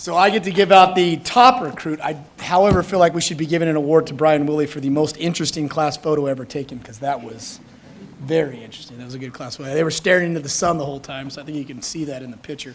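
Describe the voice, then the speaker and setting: Noticeable background noise sits behind a man speaking very fast at a fairly high pitch. His loudness swings widely, and his pitch varies in an ordinary way. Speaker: fire academy instructor. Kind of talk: ceremony speech. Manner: casual, halting with fillers.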